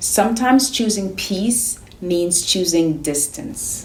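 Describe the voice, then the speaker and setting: A woman's medium-pitched voice, calm and gentle in tone, with lively intonation. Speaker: therapist. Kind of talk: self-help advice talk to camera. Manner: calm, gentle but firm.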